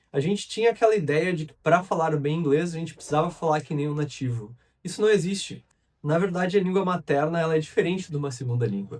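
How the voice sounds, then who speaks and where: In a southern Brazilian accent, a man with a fairly high voice speaks very fast. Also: ordinary pitch variation, big swings in loudness. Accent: gaúcho Brazilian Portuguese. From southern Brazil, Rio Grande do Sul. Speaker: English teacher. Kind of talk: educational monologue. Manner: conversational.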